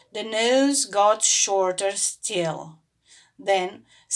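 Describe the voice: The pitch varies in an ordinary way as someone reads aloud plainly. Behind the voice, things stay quiet.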